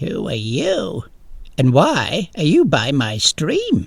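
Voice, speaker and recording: A man uses a put-on character voice, pitched fairly high. He speaks at a very slow pace. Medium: read story. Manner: small, gentle.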